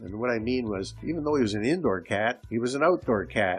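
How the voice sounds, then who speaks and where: With music in the background, a man speaks at a fairly quick pace with lively intonation. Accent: Canadian. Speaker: podcast host. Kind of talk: casual solo monologue. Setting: home recording.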